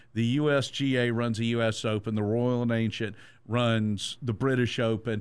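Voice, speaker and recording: On a very clean recording with a silent background, a man with a Georgia accent speaks at medium pitch and a moderate pace, in monotone, flat intonation and very even loudness. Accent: Southern American (Georgia). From Georgia (Statesboro), US South. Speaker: sports radio host. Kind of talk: casual sports chat.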